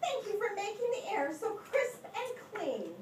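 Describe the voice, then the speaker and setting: A woman's squeaky put-on character voice at an extremely high pitch, with lively intonation and a moderate pace, slight echo and loud background noise. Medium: read story. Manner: gushing, sweet.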